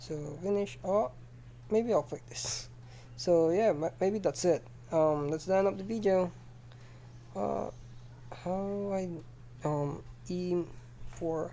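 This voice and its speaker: A woman speaks at a very slow pace, with long, frequent pauses. Her intonation is lively. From Philippines. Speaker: game development tutorial youtuber. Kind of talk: screen-recorded tutorial. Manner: halting, many fillers and restarts.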